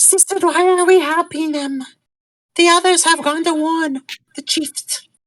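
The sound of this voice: The put-on character voice is squeaky and extremely high in pitch. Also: moderate pace.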